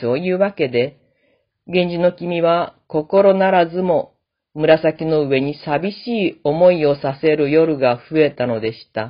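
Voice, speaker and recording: A very slow-paced woman's voice, fairly low in pitch, with ordinary pitch variation. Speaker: classical literature lecturer. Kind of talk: lecture.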